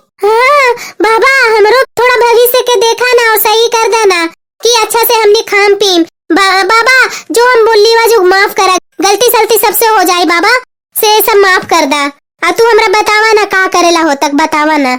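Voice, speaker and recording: A woman does a cartoonish character voice with extremely high pitch. She keeps a moderate pace and ordinary pitch variation. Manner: rustic, pleading.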